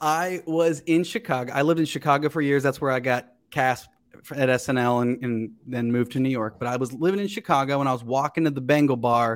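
Recorded very cleanly with a silent background, a man with an American accent uses a plain, everyday voice at medium pitch, a fairly quick pace and ordinary pitch variation. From Ohio, Cincinnati area. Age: 30s. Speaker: actor and comedian. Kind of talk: casual chat.

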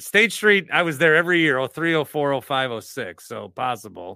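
A man's fairly high voice with an American accent, bright, sharp tone, very wide pitch swings and a fairly slow pace. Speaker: podcast host.

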